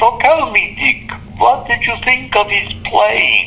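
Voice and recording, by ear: Someone does a put-on character voice at a fairly high pitch, talking at a fairly slow pace. Background noise is clearly audible.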